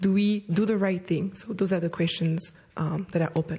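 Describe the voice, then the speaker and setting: Speaking at a moderate pace, a woman uses a somewhat breathy, dark, mellow voice at a medium pitch with fairly even intonation. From Rwanda. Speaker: youth leader, social entrepreneur. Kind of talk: panel discussion.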